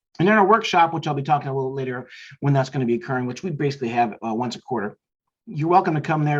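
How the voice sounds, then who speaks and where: A man talks at a very fast pace in a somewhat breathy voice with ordinary pitch variation against a quiet background. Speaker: marketing business owner. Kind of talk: business talk show monologue. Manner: halting, many fillers and repeats.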